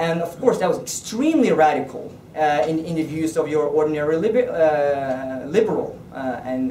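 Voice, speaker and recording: A man at a fairly high pitch and a moderate pace, with hardly any pauses, lively intonation, big swings in loudness, noticeable background noise, and audible room echo. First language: Norwegian. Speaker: politician. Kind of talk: political speech. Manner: halting.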